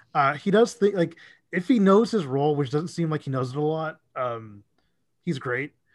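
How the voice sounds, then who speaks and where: A man talks at a moderate pace in an unremarkable speaking voice. He has an American accent and a fairly high pitch. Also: lively intonation, quiet background. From Dallas, Texas. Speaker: sports social media account runner. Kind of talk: casual chat.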